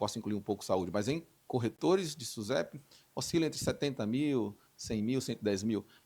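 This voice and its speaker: This man talks at a moderate pace in a medium pitch, with lively intonation and a plain, everyday voice. The recording is very clean, with a silent background. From Brazil, Recife (Northeast). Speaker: insurance industry association leader. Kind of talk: interview.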